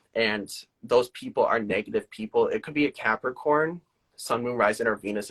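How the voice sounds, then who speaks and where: At a moderate pace, the voice comes through in a dry, close sound with no echo. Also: man. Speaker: tarot reader. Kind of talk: live-stream tarot reading. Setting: live social media video stream.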